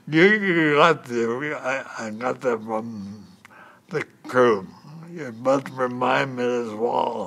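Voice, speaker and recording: A man speaks very slowly. Noticeable background noise is present throughout. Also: medium pitch for a man, ordinary pitch variation. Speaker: person describing own medical condition. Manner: speaks very slowly and carefully articulated.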